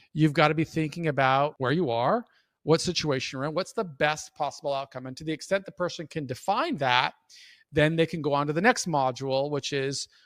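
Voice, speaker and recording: A man speaks in an ordinary speaking voice at a fairly quick pace with ordinary pitch variation. The recording is very clean with a silent background and a dry, close sound with no echo. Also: fairly high pitch for a man. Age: 50s. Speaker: prison reform advocate and mentor. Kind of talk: interview answer.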